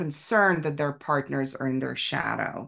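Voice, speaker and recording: Against a quiet background, a woman talks with a very deep, low pitch. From former Soviet Union. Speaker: podcast host. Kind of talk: casual chat. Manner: playful, joking.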